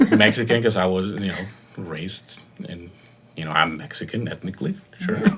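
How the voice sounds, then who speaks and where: A man's very deep, low voice at a fairly quick pace, with ordinary pitch variation, big swings in loudness, long, frequent pauses, and noticeable background noise. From Mexico. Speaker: podcast guest. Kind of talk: casual chat.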